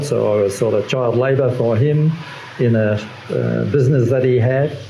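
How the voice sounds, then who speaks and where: There is audible room echo and noticeable background noise. A man speaks with an Australian accent. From Western Australia. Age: 70s. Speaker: artist, retired electrical engineer. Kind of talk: interview. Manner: halting.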